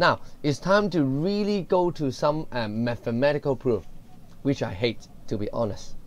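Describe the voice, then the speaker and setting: A man with a Cantonese accent and very wide pitch swings. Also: fairly high pitch for a man, moderate pace. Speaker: secondary school economics teacher. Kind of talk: lecture. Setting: recorded video lesson.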